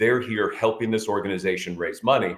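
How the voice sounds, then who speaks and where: An energetic man speaks at medium pitch with an American accent. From Chicago, USA. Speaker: professional charity auctioneer. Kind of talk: interview answer about his work, upbeat and engaging. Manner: energetic, friendly, conversational.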